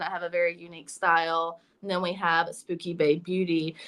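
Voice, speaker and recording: A woman with an American accent, her pitch fairly low, at a moderate pace. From US South, South Carolina. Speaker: YouTuber and artist. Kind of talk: interview.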